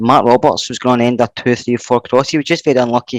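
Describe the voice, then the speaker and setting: With a Scottish accent, a man at medium pitch speaks very fast in fairly even intonation, the sound dry and close with no echo against a quiet background. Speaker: football podcast panelist. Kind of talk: casual chat. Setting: at home on a settee.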